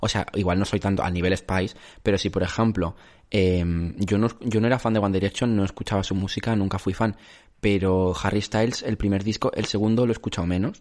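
A man speaks at a fairly quick pace in a fairly low pitch, with monotone, flat intonation. His loudness stays very even over a quiet background. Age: 20s. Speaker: podcast host. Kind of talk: casual chat. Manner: halting.

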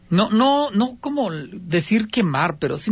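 A man speaks with a Mexican accent. His pitch swings very widely. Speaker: radio host of paranormal call-in show. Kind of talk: call-in radio show.

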